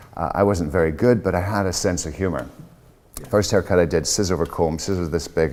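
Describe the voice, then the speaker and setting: A man's very deep, low voice at a fairly quick pace with ordinary pitch variation over noticeable background noise. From Scotland. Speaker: hairdresser and platform artist. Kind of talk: interview conversation. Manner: animated.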